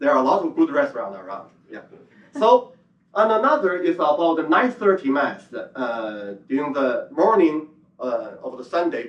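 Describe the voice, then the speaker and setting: A man's high-pitched voice at a moderate pace, with very wide pitch swings and big swings in loudness. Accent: Chinese. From China. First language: Chinese. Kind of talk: conference presentation. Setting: conference hall with audience. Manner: halting, many fillers.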